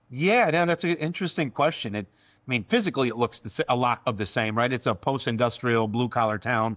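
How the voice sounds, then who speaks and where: An unremarkable speaking voice from a man, medium in pitch with ordinary pitch variation, dry and close with no echo, over a quiet background. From Connecticut, East Hartford. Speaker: state legislator. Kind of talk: interview. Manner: conversational with frequent fillers.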